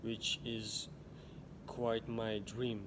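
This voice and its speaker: A man speaks with an Uzbek accent. Audible room echo and noticeable background noise surround him. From Uzbekistan, village. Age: 20s. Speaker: vlogger. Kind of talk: personal storytelling monologue. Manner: halting, frequent restarts.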